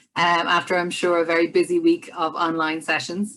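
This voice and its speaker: A woman with an Irish accent and a bright, sharp tone. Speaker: business development director and musician. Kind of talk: online presentation. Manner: fast; enthusiastic.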